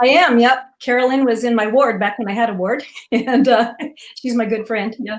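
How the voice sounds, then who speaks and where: With an American accent, a woman speaks at a fairly high pitch and a moderate pace. She has an unremarkable speaking voice with fairly even intonation. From Utah, Cedar City. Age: 60s. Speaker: retired teacher, panel guest. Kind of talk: casual interview introduction.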